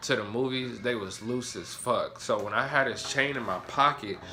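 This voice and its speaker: A man with a medium pitch speaks in an animated tone, with audible room echo. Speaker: vlogger. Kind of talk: storytime monologue. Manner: loud; casual, animated.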